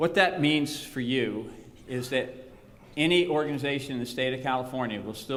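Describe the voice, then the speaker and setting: A man speaks at a medium pitch with ordinary pitch variation, and the room echo is audible. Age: 60s. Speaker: retiring foundation executive. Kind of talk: farewell conference speech.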